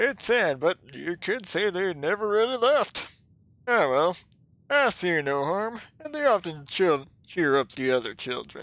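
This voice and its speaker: Someone uses a put-on character voice at a middle pitch, delivered at a fairly slow pace. The pitch swings very widely throughout. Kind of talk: read story. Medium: role play.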